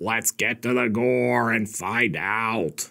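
A man with lively intonation and vocal fry, against a quiet background. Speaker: horror film reviewer. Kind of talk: film review commentary. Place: home room. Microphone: studio mic.

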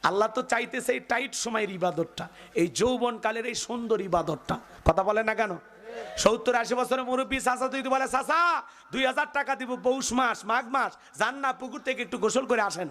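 A man speaks with an extremely high pitch and a bright, sharp tone. His delivery is animated, with ordinary pitch variation. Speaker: Islamic preacher. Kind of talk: sermon. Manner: animated, audience call-outs.

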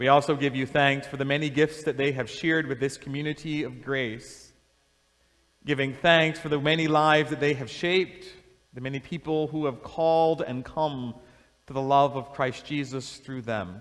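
With fairly even intonation, a man talks at a fairly high pitch and a moderate pace against a quiet background. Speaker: bishop. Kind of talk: blessing and fervent prayer before a congregation. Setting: church, in front of a congregation. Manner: solemn, fervent, earnest prayer cadence; warm, with light laughter. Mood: solemn, warm. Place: church.

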